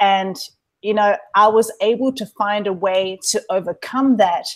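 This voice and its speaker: A woman with a slight New Zealand accent and medium pitch. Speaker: online entrepreneur, webinar co-host. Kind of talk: webinar presentation. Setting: live online webinar.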